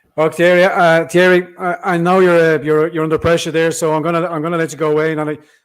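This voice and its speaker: In a very clean recording with a silent background, a man speaks at a very fast pace. He has an Irish accent and a fairly high pitch. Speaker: political podcast host. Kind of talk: live stream chat.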